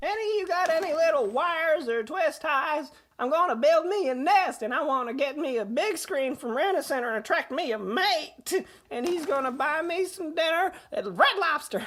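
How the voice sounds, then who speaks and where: This is a put-on character voice. The pitch sits high. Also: moderate pace. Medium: audio drama. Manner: rambling, crude, drawling.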